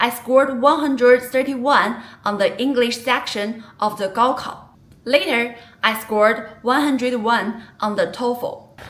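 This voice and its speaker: Noticeable background noise runs behind a woman with a high pitch. She talks at a fairly slow pace with fairly even intonation. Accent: Chinese. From China. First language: Mandarin Chinese. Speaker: vlogger. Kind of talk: personal vlog narration.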